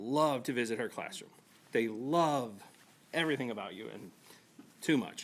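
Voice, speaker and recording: The speaker mumbles at a moderate pace with ordinary pitch variation. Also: man. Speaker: parent speaking at public comment. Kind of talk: public comment. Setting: school board meeting. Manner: mumbling.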